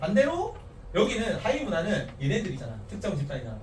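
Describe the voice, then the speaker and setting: The speaker has an animated tone and talks very fast. Audible room echo and noticeable background noise come through. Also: man. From Korea, Gyeongsang region. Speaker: teacher. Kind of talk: lecture. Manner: casual, animated.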